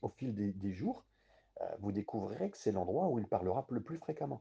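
This man's dark, mellow tone is somewhat breathy, moving at a moderate pace with lively intonation. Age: 50s. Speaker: pastor / bible teacher. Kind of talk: bible study sermon. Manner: halting, with frequent hesitations.

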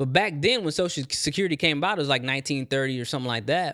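A man at a fairly high pitch on a very clean recording with a silent background. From Texas. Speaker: podcast host, personal finance. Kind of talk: solo podcast monologue. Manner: casual, conversational.

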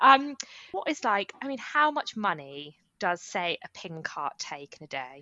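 Speaking fairly slowly in an English accent, a woman shows very wide pitch swings and big swings in loudness. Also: medium pitch for a woman. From England. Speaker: podcast co-host. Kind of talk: casual chat.

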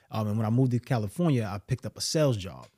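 With a Brooklyn accent, a man talks at a very fast pace and fairly low pitch with lively intonation, in a very clean recording that has a silent background and a dry, close sound with no echo. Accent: New York (Brooklyn). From New York City, Brooklyn. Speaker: mindset coach and entrepreneur. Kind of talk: casual interview.

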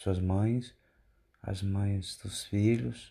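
The voice has a dark, mellow tone, is somewhat breathy, and moves at a very slow pace. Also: man. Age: 40s. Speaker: preacher. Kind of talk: sermon. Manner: halting.

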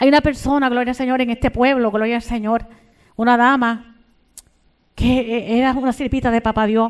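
The voice stays monotone and flat, with very even loudness and long, frequent pauses. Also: woman, high pitch for a woman, moderate pace. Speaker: preacher. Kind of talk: sermon. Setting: church. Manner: fervent, exclamatory; repetitive praise interjections, urgent.

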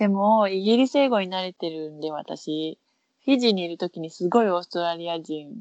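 A woman talks at a fairly quick pace in a normal speaking voice. Her pitch is fairly low, with ordinary pitch variation. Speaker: podcast co-host. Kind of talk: casual chat.

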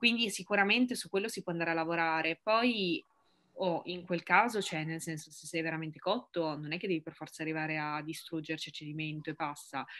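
A fairly quick, fairly low-pitched woman's voice with a bright, sharp tone and ordinary pitch variation. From Piedmont, Italy (Ivrea, near Turin). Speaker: fitness content creator and strength athlete. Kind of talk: casual interview.

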